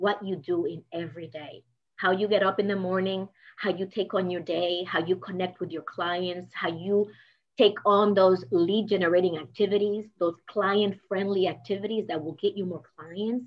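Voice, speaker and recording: A woman speaks with a Spanish accent. Her intonation is fairly even. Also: medium pitch for a woman, moderate pace. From Dominican Republic. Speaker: business coach. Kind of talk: motivational talk.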